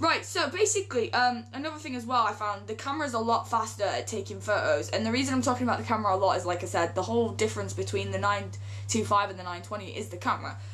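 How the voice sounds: A woman's medium-pitched voice at a fast pace. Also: ordinary pitch variation.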